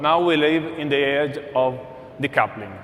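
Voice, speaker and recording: In a room with audible echo and noticeable background noise, a man with an Italian accent talks at a fairly slow pace and fairly high pitch, with ordinary pitch variation. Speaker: corporate speaker. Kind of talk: conference presentation.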